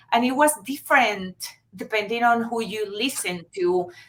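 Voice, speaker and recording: In a bright, sharp tone, a woman with a Venezuelan accent talks at a fairly high pitch for a woman. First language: Spanish. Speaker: marketing agency founder. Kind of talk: interview. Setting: live video stream. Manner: halting.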